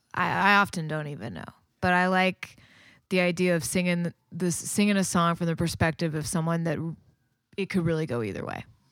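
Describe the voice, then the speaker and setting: A normal speaking voice with an American accent moves at a fairly quick pace. Its pitch variation is ordinary. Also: woman, fairly low pitch for a woman, very clean recording, silent background. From Texas, near Waco. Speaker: singer-songwriter. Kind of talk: casual chat.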